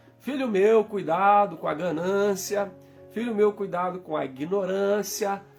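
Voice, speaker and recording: A fairly slow pace of speech with music in the background. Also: man. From Minas Gerais, Brazil. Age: 40s. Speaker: pastor. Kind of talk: sermon.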